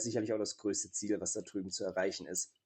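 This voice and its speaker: A man speaks. His tone is dark and mellow. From Saxony, Leipzig. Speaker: wrestler and martial arts teacher. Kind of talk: interview.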